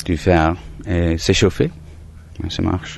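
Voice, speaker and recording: His pitch very deep and low, a man speaks in a monotone, flat intonation. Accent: English. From Surrey, southern England. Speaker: holiday cottage owner. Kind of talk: interview. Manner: hesitant, repeats words.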